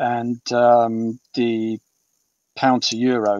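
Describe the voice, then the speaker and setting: Dry and close-miked, this man's voice carries no echo at all. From southern England, East Sussex and Hampshire. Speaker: author. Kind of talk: interview. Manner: halting, many fillers.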